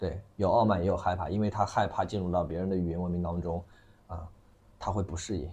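This man speaks at a very fast pace, his very deep, low voice dark and mellow in tone, somewhat breathy and monotone with flat intonation. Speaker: livestream commerce operator. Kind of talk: casual chat.

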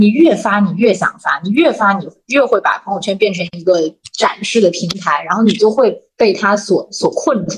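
Her voice somewhat breathy, a woman speaks at medium pitch with lively intonation. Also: moderate pace. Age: 30s. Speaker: company vice president, former internet product manager. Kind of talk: casual chat.

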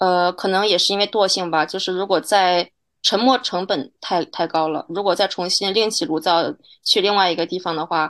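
Against a quiet background, a woman with an unremarkable speaking voice talks at a moderate pace, with medium pitch and fairly even intonation. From China. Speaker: journalist. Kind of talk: interview conversation.

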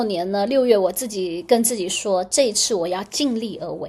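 A woman talks at a moderate pace with lively intonation. A plain, everyday voice. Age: 40s. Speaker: astrologer and podcast host. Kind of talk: casual solo podcast monologue.

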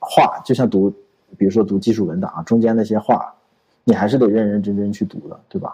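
An unremarkable speaking voice from a man, fairly low-pitched, fairly quick, with ordinary pitch variation. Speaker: podcast co-host, programmer. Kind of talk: casual chat.

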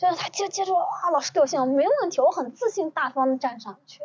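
Fairly quick speech from a woman, with very wide pitch swings. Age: 30s. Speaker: educator and etiquette trainer. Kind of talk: casual chat. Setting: outdoors. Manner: animated.

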